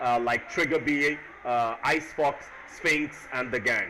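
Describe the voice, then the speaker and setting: The speaker is a man with a fairly high pitch. Noticeable background noise runs under his voice. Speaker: esports commentator. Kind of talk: post-match interview and stream commentary.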